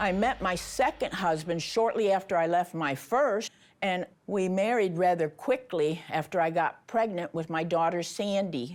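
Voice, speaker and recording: A woman with an unremarkable speaking voice talks at a moderate pace. Her pitch is medium, with ordinary pitch variation. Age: 60s. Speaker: reality TV participant. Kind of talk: confessional interview.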